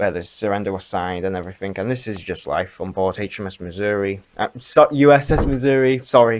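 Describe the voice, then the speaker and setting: Mumbling at a fairly quick pace with hardly any pauses, a man with a fairly low voice shows ordinary pitch variation and big swings in loudness. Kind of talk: casual talk to camera.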